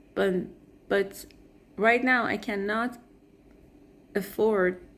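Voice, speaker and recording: Speaking at a very slow pace, a woman uses a monotone, flat intonation in a non-native accent. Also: medium pitch for a woman. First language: not English. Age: 20s. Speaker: vlogger. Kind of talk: personal vlog. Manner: hesitant, with fillers and self-corrections.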